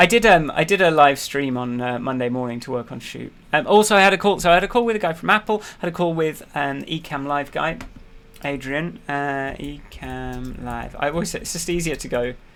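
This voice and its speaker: An unremarkable speaking voice moves at a fairly quick pace with lively intonation. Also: man, fairly high pitch for a man. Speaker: app developer vlogger. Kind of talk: casual weekly update with screen demo.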